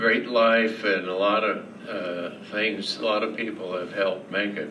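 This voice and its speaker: A man with an American accent speaks very slowly, his intonation fairly even. Noticeable background noise and audible room echo are present. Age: 80s+. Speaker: bank founder and CEO. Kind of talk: speech to a club audience. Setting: club luncheon with audience. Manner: slow, halting speech from ALS.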